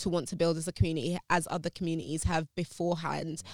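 In a London accent, a woman talks at a very fast pace in a fairly low voice, with a dry, close sound and no echo. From South London, England. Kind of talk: interview conversation.

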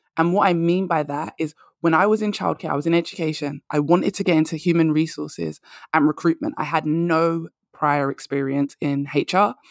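A woman with a London accent talks at a fairly quick pace in a very deep, low pitch. The recording is dry and close, with no echo. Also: fairly even intonation. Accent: London British. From London, England. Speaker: career and confidence coach. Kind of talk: casual interview chat. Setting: remote call from London.

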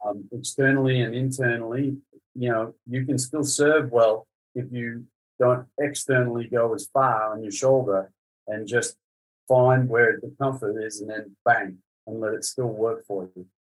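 In an Australian accent, a man at medium pitch talks at a fairly slow pace with fairly even intonation and big swings in loudness. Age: 50s. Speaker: tennis coach. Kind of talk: casual interview chat.

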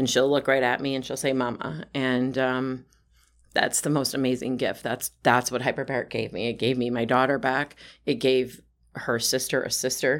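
Her pitch is very deep and low, with a monotone, flat intonation. This woman speaks at a moderate pace in an Upper Midwest accent. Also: very clean recording, silent background. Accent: Upper Midwest American. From Wisconsin. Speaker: health advocate. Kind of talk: casual chat.

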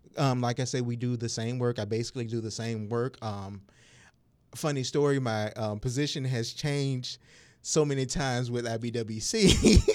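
With an American accent, a man speaks at a moderate pace in a medium pitch with fairly even intonation. The recording is very clean, against a silent background. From Suffolk, Virginia. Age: 40s. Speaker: community health worker. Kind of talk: radio interview.

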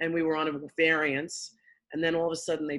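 Very fast speech comes from a woman with a New York accent. Her voice is very deep and low. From Queens, New York. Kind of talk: casual interview.

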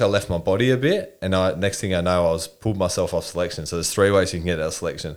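A man with an Australian accent at a very fast pace, on a very clean recording with a silent background. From Australia, Newcastle NSW. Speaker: army veteran and builder, mental health advocate. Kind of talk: casual interview chat.

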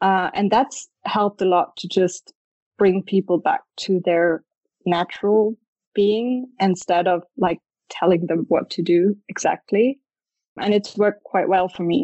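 A woman speaks in a German accent at a fairly slow pace. Her intonation stays fairly even. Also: medium pitch for a woman. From Germany, Stuttgart. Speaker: photographer. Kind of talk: interview.

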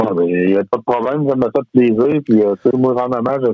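A man speaks with a Quebec accent. His pitch is medium. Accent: Québécois French. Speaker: metal musician. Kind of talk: casual interview.

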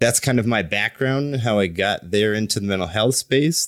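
A man with an American accent and a plain, everyday voice, ordinary pitch variation and moderate pace, in a very clean recording with a silent background. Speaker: Army veteran. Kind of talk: interview.

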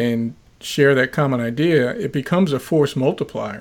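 The clip offers an ordinary speaking voice delivered at a moderate pace. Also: man. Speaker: podcast host; former law enforcement officer. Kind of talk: interview.

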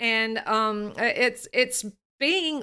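With a Southern US accent, a woman speaks in a bright, sharp tone at a fairly high pitch with ordinary pitch variation. The recording is very clean, with a silent background. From US South, Alabama. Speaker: voice coach and singer. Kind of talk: interview conversation. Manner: draws out words.

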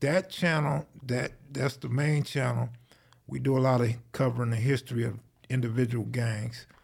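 Somewhat breathy, a man speaks at a medium pitch and moderate pace with ordinary pitch variation. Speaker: gang history video creator. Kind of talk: casual chat.

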